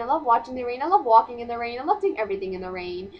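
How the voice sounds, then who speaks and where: A woman's voice moves through very wide pitch swings. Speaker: vlogger. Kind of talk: casual vlog monologue. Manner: loud; fast.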